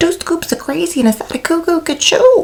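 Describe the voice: A woman puts on a character voice at an extremely high pitch, with big pitch swings and vocal fry, at a moderate pace.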